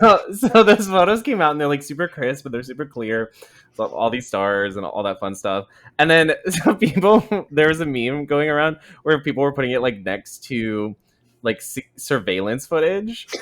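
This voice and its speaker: In a very clean recording with a silent background, a man's fairly high voice swings very widely in pitch. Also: moderate pace. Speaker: podcast co-host. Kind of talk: casual chat. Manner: loud. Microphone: very close to the microphone.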